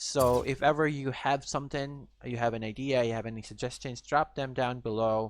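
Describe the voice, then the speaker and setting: On a very clean recording with a silent background, a man speaks at a moderate pace with hardly any pauses. His pitch is medium and his intonation fairly even. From Philippines. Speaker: gaming YouTuber. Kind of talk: casual video outro talk. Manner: halting, many fillers.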